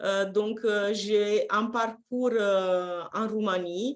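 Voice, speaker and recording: A woman with a Romanian accent, speaking at a very slow pace. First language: Romanian (speaking French). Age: 50s. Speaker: personal development coach. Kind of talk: live-streamed interview. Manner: hesitant, frequent fillers.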